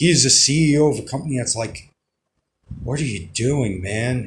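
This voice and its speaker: A somewhat breathy man at a moderate pace with ordinary pitch variation. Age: 30s. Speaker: vlogger. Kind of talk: casual monologue. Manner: halting.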